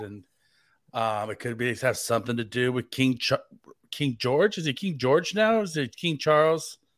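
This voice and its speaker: A medium-pitched man with an American accent on a very clean recording with a silent background. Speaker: fill-in podcast host. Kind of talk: casual chat. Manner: joking.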